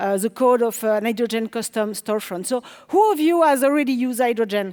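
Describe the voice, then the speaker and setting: Someone with a French accent speaks at a very fast pace. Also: woman, fairly high pitch for a woman, ordinary pitch variation. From France. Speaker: developer relations engineer, conference speaker. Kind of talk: conference talk. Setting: stage with audience.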